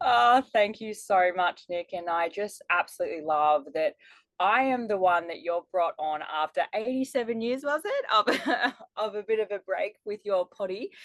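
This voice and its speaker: Woman with a strong Australian accent, medium pitch and lively intonation at a moderate pace, in a dry, close sound with no echo. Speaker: life strategist and business mentor. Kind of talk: podcast interview.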